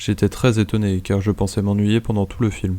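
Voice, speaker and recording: This man has a dark, mellow tone. His pitch sits fairly low. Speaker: French teacher. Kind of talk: reading aloud. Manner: normal pace.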